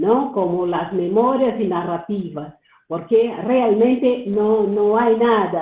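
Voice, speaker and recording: Speaking very slowly, the woman uses a fairly high pitch with ordinary pitch variation. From Brazil. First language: Portuguese (speaking Spanish). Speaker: doctoral student, audience participant. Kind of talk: Q&A comment in webinar. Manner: halting, many fillers and repetitions.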